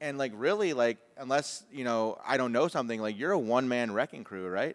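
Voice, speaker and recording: At a medium pitch, a man talks fairly quickly with lively intonation in an unremarkable speaking voice. The recording is very clean, the background silent. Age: 40s. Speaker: podcast host. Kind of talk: casual chat.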